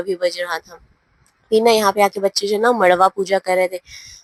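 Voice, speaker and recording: A woman's voice in a dry, close sound with no echo. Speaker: family vlogger. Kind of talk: vlog voiceover narration. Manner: casual, conversational.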